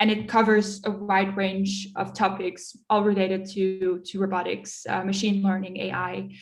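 A woman speaks at medium pitch and a fairly slow pace with hardly any pauses. Her intonation is monotone and flat, and the room echo is audible. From Netherlands, then Munich from age 11. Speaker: enterprise account manager. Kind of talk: interview.

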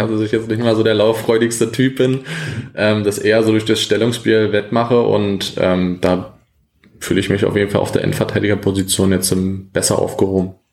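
This man's voice sits fairly low in pitch. He delivers everything in a flat monotone. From Brandenburg, eastern Germany. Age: 20s. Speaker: amateur footballer and police officer. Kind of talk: casual interview. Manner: hesitant, many fillers; calm, relaxed.

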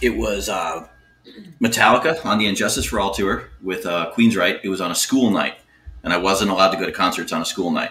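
Noticeable background noise surrounds a man with an American accent and a fairly low pitch. He talks at a fairly quick pace with lively intonation. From Miami, South Florida. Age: 40s. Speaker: guest, metal fan. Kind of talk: casual chat.

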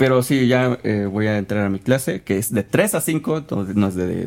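A man talks in a plain, everyday voice. His pitch varies in an ordinary way. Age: young. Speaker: podcast host. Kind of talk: casual chat.

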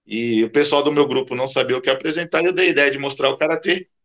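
A man's fairly high, quick-paced delivery in an ordinary speaking voice, with ordinary pitch variation. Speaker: karate instructor. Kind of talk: casual chat.

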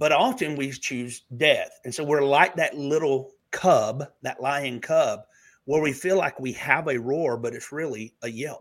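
Over a silent background in a very clean recording, a man with a Southern US accent talks very slowly, his fairly high pitch varying in an ordinary way. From Alabama. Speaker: minister. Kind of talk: prophetic ministry talk.

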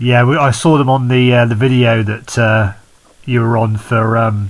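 An ordinary speaking voice, male and medium in pitch, with fairly even intonation at a fairly slow pace. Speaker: podcast host. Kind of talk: casual interview chat.

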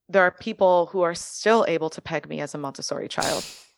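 A woman's plain, everyday voice with an American accent, fairly low in pitch with ordinary pitch variation, in a dry, close sound with no echo. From Miami, Florida. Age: 30s. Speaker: early childhood educator and artist. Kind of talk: casual chat.

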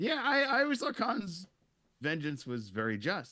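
The man's bright, sharp voice shows vocal fry and very wide pitch swings. He talks at a moderate pace with an American accent. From US. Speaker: YouTube Star Trek show host, guest. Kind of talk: casual chat.

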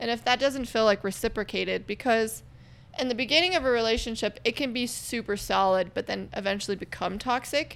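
A woman's fairly high voice with vocal fry, a fairly quick pace and ordinary pitch variation. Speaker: podcast host. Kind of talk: casual chat.

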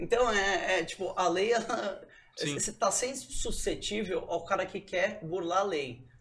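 A high-pitched man's voice is heard over noticeable background noise. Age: 30s. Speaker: NFT company co-founder. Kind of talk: casual chat. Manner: fast.

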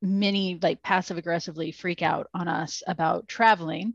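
A woman with an American accent has an ordinary speaking voice at a medium pitch and fairly even intonation. The sound is dry and close with no echo, over a quiet background. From US Midwest. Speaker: brewery education manager and podcast co-host. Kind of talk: casual chat.

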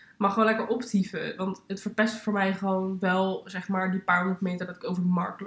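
A woman's somewhat breathy voice at medium pitch, fairly even in intonation, at a moderate pace. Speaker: podcast co-host. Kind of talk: casual chat.

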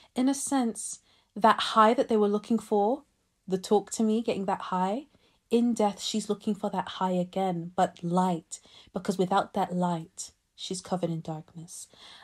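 At a moderate pace, a woman talks in a medium pitch with ordinary pitch variation and a somewhat breathy quality, on a very clean recording with a silent background. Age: 20s. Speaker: podcast host. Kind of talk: casual chat. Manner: animated.

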